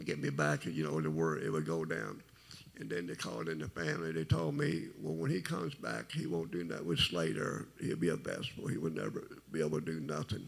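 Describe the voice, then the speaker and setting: A quiet voice with vocal fry, lively intonation and a fairly quick pace. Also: man, very deep, low pitch for a man. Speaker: testimony speaker. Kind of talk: testimony. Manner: low, quiet.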